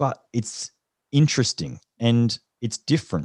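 A man with an Australian accent speaks in a dark, mellow tone, with a dry, close sound with no echo. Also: quiet background. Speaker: leadership consultant and former special forces soldier. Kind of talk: interview.

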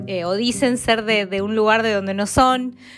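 A woman speaks with an Argentine accent at a fairly high pitch. Her pace is moderate and her intonation fairly even. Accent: Argentine, kept. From Argentina, Mendoza. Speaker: podcast host, Spanish teacher. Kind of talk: casual solo podcast. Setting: small studio flat by a window. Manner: spontaneous, with many repetitions.

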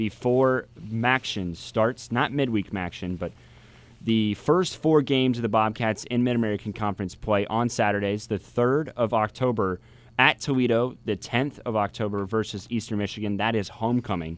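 At a moderate pace, a man talks in an unremarkable speaking voice with medium pitch and ordinary pitch variation. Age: 20s. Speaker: college radio sports host. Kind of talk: sports talk radio. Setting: radio studio.

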